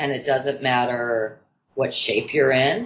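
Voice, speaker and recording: At a very slow pace, a woman speaks. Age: 40s. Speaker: burlesque performer. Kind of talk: casual chat.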